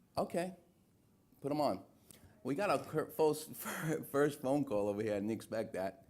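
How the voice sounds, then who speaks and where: A man speaks with a New York accent at a moderate pace. His intonation is lively, broken by long, frequent pauses. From New York City, Little Italy. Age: 50s. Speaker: talk show host. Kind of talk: live call-in talk show. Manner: casual.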